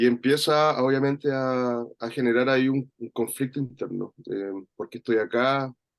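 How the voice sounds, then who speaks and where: A man with a Chilean accent speaks at a medium pitch and a fairly slow pace, his intonation fairly even. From Chile, rural interior of Valparaíso region. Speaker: workshop participant. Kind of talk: personal reflection in online workshop. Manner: halting, many fillers and repetitions.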